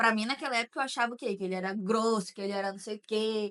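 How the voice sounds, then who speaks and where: This is a woman with a bright, sharp tone. Her pitch sits fairly high. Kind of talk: casual chat.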